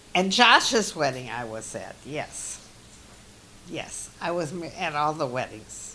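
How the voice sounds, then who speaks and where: Over noticeable background noise, a woman speaks very slowly with a very deep, low pitch and very wide pitch swings. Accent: American. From US Midwest, Milwaukee Wisconsin. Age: 80s+. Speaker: interviewee, elderly mother. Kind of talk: family oral history interview. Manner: halting.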